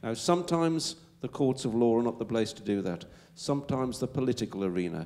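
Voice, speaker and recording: A man's dark, mellow voice at a fairly quick pace, with lively intonation. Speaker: legal expert panelist. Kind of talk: panel Q&A answer. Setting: public event with audience. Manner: hesitant, repeating words.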